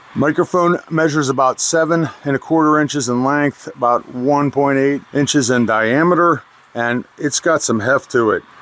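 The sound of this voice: A man's nasal, fairly bright voice at a medium pitch with ordinary pitch variation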